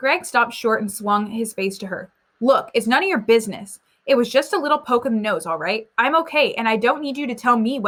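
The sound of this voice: With a quiet background, the unforced reading voice shows ordinary pitch variation.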